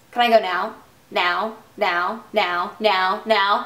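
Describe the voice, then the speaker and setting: At a very slow pace, a woman puts on a character voice with a medium pitch and monotone, flat intonation. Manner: squawking, repetitive.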